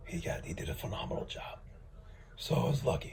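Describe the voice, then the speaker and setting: A man speaks over noticeable background noise. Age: 40s. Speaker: cancer patient. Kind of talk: personal testimony. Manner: hesitant with fillers.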